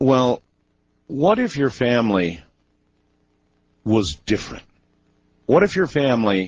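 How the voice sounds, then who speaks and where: Intonation is lively as a man speaks at a fairly slow pace. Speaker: radio talk show host. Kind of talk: radio interview, host question.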